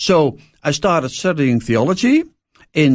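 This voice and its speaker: Lively intonation with a Dutch accent in a very clean recording with a silent background. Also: man. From Netherlands. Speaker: pastor. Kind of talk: interview. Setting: studio. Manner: halting.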